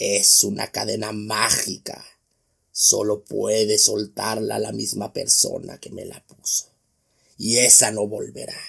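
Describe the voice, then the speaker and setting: A put-on character voice comes out hoarse and growling. The pace is fairly slow. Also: man. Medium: read story. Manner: gruff, bitter.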